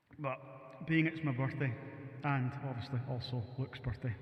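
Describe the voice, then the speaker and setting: Here a man speaks with a strong Scottish accent. Noticeable background noise runs under his voice. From Scotland. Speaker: musician live-streaming. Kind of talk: casual live stream chat. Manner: fast.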